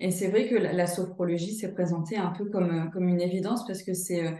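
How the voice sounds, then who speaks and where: Her medium-pitched voice has a dark, mellow tone, and the woman talks at a fairly quick pace with fairly even intonation. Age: 30s. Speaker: sophrologist and career counselor. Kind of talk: testimonial interview. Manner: hesitant, many fillers.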